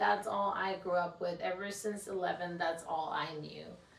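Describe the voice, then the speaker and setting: A woman's fairly low voice in a Mexican accent, monotone and flat, at a fairly slow pace with audible room echo. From Mexico, Juarez. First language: Spanish. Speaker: podcast host. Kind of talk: casual solo podcast talk. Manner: candid, unscripted.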